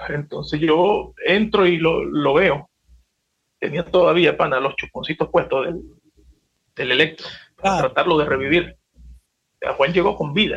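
This man talks fairly slowly and stops often for long pauses. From Venezuela, Maracaibo (Zulia). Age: 50s. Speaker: salsa singer. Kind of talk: casual chat.

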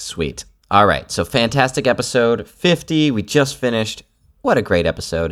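A man speaks in a normal speaking voice at a medium pitch. His intonation is lively and his pace moderate. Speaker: podcast host. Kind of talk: casual banter. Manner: joking, playful.

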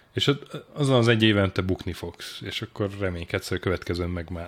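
A man's very deep, low voice at a fairly quick pace with ordinary pitch variation, on a very clean recording with a silent background. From Hungary, Sopron. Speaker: journalist and deputy editor-in-chief. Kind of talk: casual interview.

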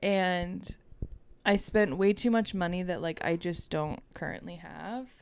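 A woman with an American accent speaks in an ordinary speaking voice at a fairly slow pace. Her pitch is medium, with ordinary variation. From Baltimore suburbs, Maryland. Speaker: podcast co-host, wellness healer. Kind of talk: casual chat.

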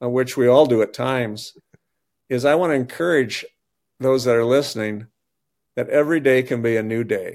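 This man has a medium pitch and ordinary pitch variation, speaking with an Upper Midwest accent. His pace is fairly quick. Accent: Upper Midwest American. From northeast South Dakota. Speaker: dentist turned lay pastor. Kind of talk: casual interview. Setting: remote call.

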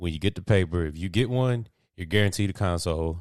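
On a very clean recording with a silent background, a man speaks at a fairly quick pace with an animated tone. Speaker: sports podcast host. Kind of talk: casual banter. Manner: animated, bantering.

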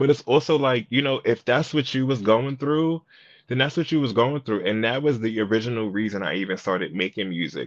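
Lively in intonation and medium in pitch, a man rattles along at a very fast pace. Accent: American. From Brooklyn, New York. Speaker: singer and songwriter. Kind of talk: casual interview. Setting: coffee shop.

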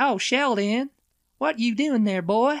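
A put-on character voice in a Deep South accent drawls at a fairly slow pace with fairly high pitch. The recording is very clean, with a silent background. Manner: exaggerated drawl.

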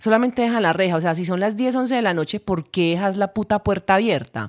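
On a very clean recording with a silent background, a woman speaks in an animated tone with medium pitch and lively intonation. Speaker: podcast co-host, musician. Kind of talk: casual chat.

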